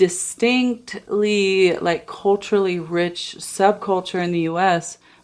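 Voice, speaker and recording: A woman at a medium pitch talks very slowly with fairly even intonation and hardly any pauses. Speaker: podcast co-host, blended family advocate. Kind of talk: casual conversation.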